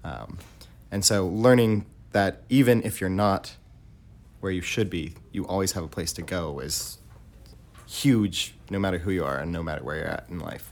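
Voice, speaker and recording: A man with a very deep, low voice and vocal fry speaks at a moderate pace, his intonation lively. He leaves long, frequent pauses, and the recording is very clean with a silent background. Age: 20s. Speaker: community theater actor. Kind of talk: interview.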